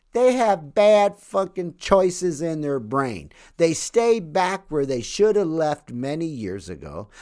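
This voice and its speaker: Delivered at a very slow pace with hardly any pauses, the voice has a dark, mellow tone and very wide pitch swings in a very clean recording with a silent background. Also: man, fairly high pitch for a man. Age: 60s. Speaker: author and podcast host. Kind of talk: solo podcast monologue. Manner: casual, profanity-laced delivery.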